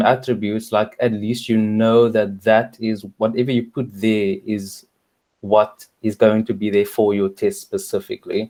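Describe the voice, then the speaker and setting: With a South African accent, a man speaks at a moderate pace in a dark, mellow tone and fairly even intonation. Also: quiet background. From South Africa, Cape Town. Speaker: software tester. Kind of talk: casual chat. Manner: halting. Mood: calm, thoughtful opinion. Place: home room.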